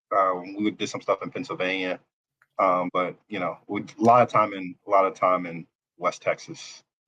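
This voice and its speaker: A man talks at a moderate pace with big swings in loudness. The sound is dry and close, with no echo. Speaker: former navy officer and college football player. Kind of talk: podcast interview. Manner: halting, many fillers and restarts.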